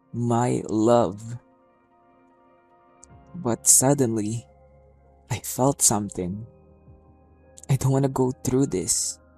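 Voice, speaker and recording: A man talks very slowly with long, frequent pauses and ordinary pitch variation. Music plays in the background. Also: medium pitch for a man. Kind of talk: spoken word poetry performance.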